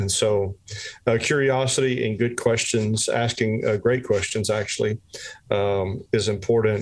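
A man at medium pitch talks at a fairly slow pace in a monotone, flat intonation. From South Louisiana. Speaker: church small groups director. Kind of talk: casual discussion.

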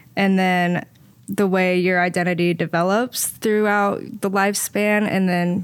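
With a Midwestern American accent, a woman at medium pitch talks at a fairly slow pace with fairly even intonation. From Indianapolis, Indiana. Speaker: diving coach and social worker. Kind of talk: casual interview. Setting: studio.

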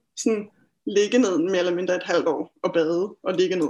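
At a medium pitch, a woman speaks at a moderate pace. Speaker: therapist and healer. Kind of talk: interview. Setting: video call.

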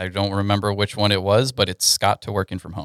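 A normal speaking voice with an American accent goes at a moderate pace. The recording is very clean with a silent background, and the sound is dry and close with no echo. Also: man. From Texas, Houston (Katy). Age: 20s. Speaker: web developer. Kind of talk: casual interview chat.

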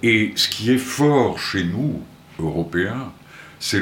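With audible room echo around him, a man speaks very slowly using lively intonation. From Portugal, Porto. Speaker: music centre founder. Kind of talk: radio interview. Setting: studio.

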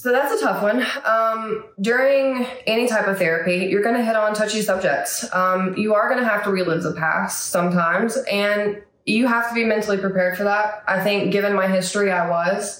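At a fairly quick pace, a woman talks with medium pitch, fairly even intonation and very even loudness, amid noticeable background noise and audible room echo. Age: 30s. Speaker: therapy client sharing recovery story. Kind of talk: interview testimony. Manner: hesitant with frequent fillers.

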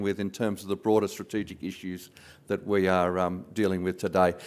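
Speaking at a moderate pace with an Australian accent, a man is heard on a very clean recording against a silent background. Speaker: board chairman. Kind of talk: closing remarks. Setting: stage with audience.

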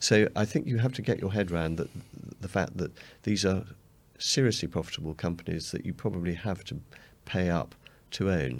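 Speaking with an English accent, a man uses a very deep, low pitch and lively intonation. His pace is fairly quick, yet broken by long, frequent pauses. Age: 50s. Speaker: fund manager. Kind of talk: interview.

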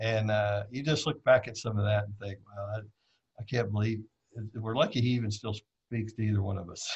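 A man talks at a fairly low pitch and a fairly quick pace. His voice is somewhat breathy, with fairly even intonation. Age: 40s. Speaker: drag racer. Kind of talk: casual storytelling interview. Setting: live video stream.

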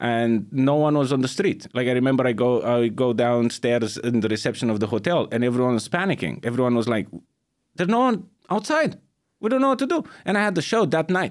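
With a Romanian accent, a man talks fairly quickly at medium pitch, using lively intonation and very even loudness on a very clean recording with a silent background. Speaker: stand-up comedian. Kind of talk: casual chat.

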